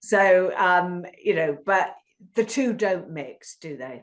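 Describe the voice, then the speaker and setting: Speaking with a British accent, a woman uses a medium pitch and lively intonation. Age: 50s. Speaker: podcast host. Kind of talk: casual interview chat. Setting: podcast.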